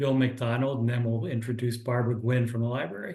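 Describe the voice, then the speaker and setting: In a room with audible echo, a man with a somewhat breathy, medium-pitched voice speaks at a moderate pace in a flat monotone. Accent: American. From US Northeast, Philadelphia area. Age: 60s. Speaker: business mentor. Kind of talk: online workshop presentation. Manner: casual, halting with fillers.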